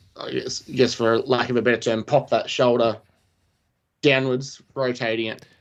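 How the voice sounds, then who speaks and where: His pitch is medium and his intonation monotone and flat as the man talks at a moderate pace. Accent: Australian. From Australia. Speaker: paramedic. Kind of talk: podcast discussion. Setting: live stream.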